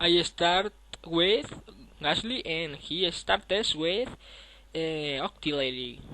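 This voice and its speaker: With a non-native accent, the speaker goes at a very slow pace with long, frequent pauses. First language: not English. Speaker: gamer. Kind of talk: gameplay commentary.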